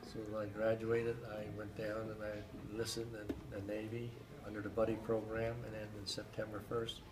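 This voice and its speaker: Moderately paced speech from a man at a medium pitch, with audible room echo and noticeable background noise. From Pennsylvania, Schuylkill County. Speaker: war veteran. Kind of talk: interview. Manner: halting, many fillers.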